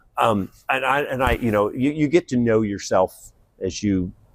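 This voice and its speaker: A man speaks at a medium pitch. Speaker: physician and leadership coach. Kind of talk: interview conversation. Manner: animated.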